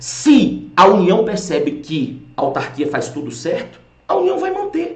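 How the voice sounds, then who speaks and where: A man speaks in an animated tone, with audible echo in the room. Music plays in the background. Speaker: law course teacher. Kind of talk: lecture.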